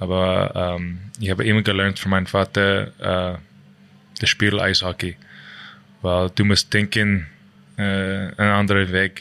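A man talks at a fairly slow pace in a bright, sharp tone with a fairly low pitch. His intonation stays monotone and flat, broken by long, frequent pauses. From Canada. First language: English (speaking German). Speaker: ice hockey player. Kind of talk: interview. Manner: halting.

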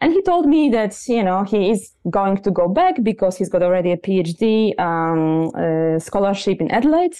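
A woman with a dark, mellow tone and lively intonation. She speaks with hardly any pauses. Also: medium pitch for a woman, moderate pace, very even loudness. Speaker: marketing professor. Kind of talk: interview.

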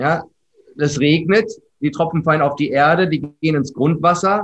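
Using an unremarkable speaking voice, a man talks at a moderate pace with ordinary pitch variation. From Germany, Ostwestfalen-Lippe (Herford). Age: 30s. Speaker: business coach and trainer. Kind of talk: podcast interview.

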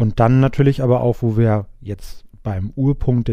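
Speaking at a medium pitch, a man has a dark, mellow tone and fairly even intonation. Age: 20s. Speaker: risk management consultant. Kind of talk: interview.

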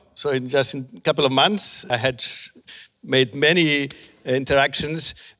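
This man speaks with a Spanish accent at a moderate pace and a medium pitch. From Spain. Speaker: professor of education technology. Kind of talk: panel discussion. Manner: halting.

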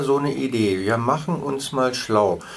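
Over noticeable background noise, a man speaks at a fairly slow pace with a medium pitch and ordinary pitch variation. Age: 70s. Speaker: patient advocate. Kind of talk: interview.

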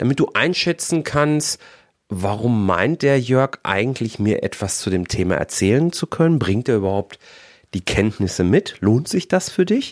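This man talks at a moderate pace with very wide pitch swings. His recording is very clean, the background silent. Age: 40s. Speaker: podcast host, financial controller. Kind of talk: solo podcast monologue. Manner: animated.

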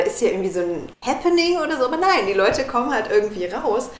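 Very wide pitch swings amid audible room echo. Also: woman. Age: 30s. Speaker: coach for busy women, minimalism. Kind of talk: casual chat.

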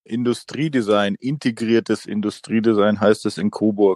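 Speaking at a moderate pace, a man with a slight Franconian accent has a fairly low pitch. The sound is dry and close, with no echo. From Franconia, Fichtelgebirge (Bavaria, Germany). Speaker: bicycle frame designer. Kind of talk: interview.

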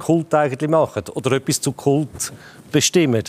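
Heard in a dry, close sound with no echo, a man with a Zurich accent and fairly high pitch talks at a moderate pace with ordinary pitch variation. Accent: Swiss German, Zurich. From Switzerland, Zurich area. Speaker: football pundit, former club director. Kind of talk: panel discussion.

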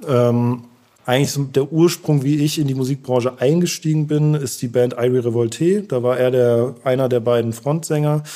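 A man talks at a medium pitch and a moderate pace, with fairly even intonation and very even loudness. His tone is dark and mellow, on a very clean recording with a silent background. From Germany, Heidelberg. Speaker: artist manager. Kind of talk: interview.

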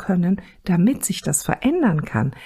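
Very slowly, a woman speaks at a medium pitch, her tone dark and mellow and somewhat breathy. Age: 50s. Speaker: parenting counselor and podcast host. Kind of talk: solo podcast monologue. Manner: casual, chatty.

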